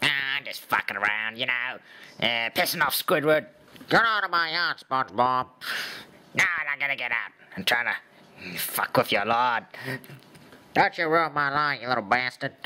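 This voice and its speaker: Using a put-on character voice, a man talks at an even, moderate speed with a medium pitch. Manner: crude, mischievous.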